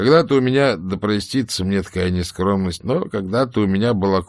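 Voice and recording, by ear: A natural voice reading aloud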